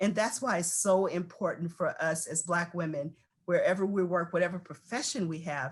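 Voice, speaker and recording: A woman with a fairly low pitch and ordinary pitch variation talks somewhat breathily at a moderate pace. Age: 60s. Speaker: panelist. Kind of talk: panel discussion.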